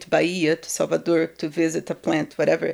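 With a Brazilian accent, a woman talks at a moderate pace. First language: Portuguese. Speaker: guest telling her life story. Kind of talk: casual interview, personal storytelling. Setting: studio.

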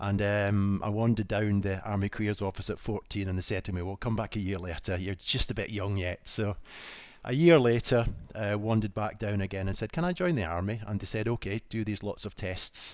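A man with a Scottish accent talks at a fairly quick pace, his fairly low pitch showing ordinary variation. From Scotland. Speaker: medic and founder of a medical equipment company. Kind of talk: casual interview. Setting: video call.

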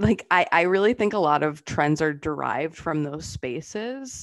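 A woman with an American accent and an unremarkable speaking voice talks at a moderate pace and a fairly low pitch. Her intonation is lively, and the background is quiet. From US Northeast, Massachusetts/Rhode Island border. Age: 30s. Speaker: fashion content creator. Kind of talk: casual interview.

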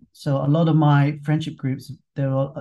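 Somewhat breathy, the voice has a dark, mellow tone and a London accent. Its intonation is monotone and flat. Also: man. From London, England. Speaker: fitness instructor. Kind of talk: casual interview conversation. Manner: relaxed, conversational, some hesitations.

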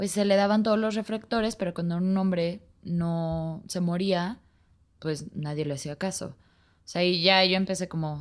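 A woman speaks at a moderate pace in a medium pitch with fairly even intonation, on a very clean recording with a silent background. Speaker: podcast guest. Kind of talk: casual chat.

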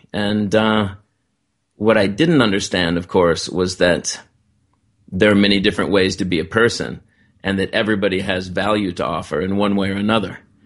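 A man with an American accent talks in a normal speaking voice at a moderate pace, his intonation fairly even. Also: fairly low pitch for a man. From United States. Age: 50s. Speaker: author and TV producer. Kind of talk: interview.

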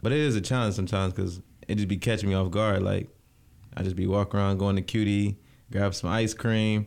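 A man talks at a very fast pace with a fairly low pitch. His intonation is monotone and flat. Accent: American. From Lansing, Michigan. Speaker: county commissioner. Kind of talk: casual interview. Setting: studio.

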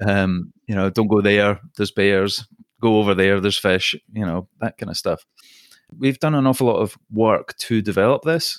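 A man with a Scottish accent and ordinary pitch variation. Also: fairly low pitch for a man, moderate pace. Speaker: podcast host. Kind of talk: interview.

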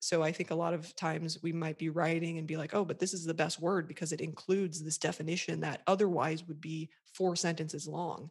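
Someone with an American accent speaks at a fairly quick pace in a monotone, flat intonation. The recording is very clean and the background silent. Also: woman, fairly low pitch for a woman. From USA. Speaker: website copywriter and coach for therapists. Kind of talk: interview, conversational.

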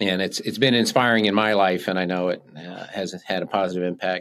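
Fairly low in pitch, this man has an unremarkable speaking voice. His intonation is fairly even. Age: 60s. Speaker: podcast host and life coach. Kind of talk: casual interview. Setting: podcast studio.

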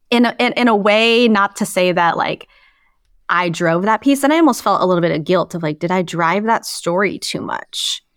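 A woman speaks in a plain, everyday voice with an American accent and lively intonation. The recording is very clean, dry and close, with a silent background and no echo. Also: medium pitch for a woman, moderate pace. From Idaho. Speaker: sports journalist and podcaster. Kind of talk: casual interview chat.

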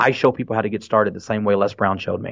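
A man does a raspy put-on character voice, fairly low in pitch and monotone with flat intonation. He races along at a very fast pace. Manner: passionate.

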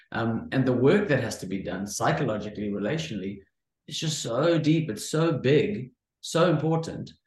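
Somewhat breathy, a man speaks at a moderate pace in a medium pitch, his pitch swinging very widely. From South Africa, Cape Town. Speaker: entrepreneur, former pastor and academic. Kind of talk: interview, conversational. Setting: video call.

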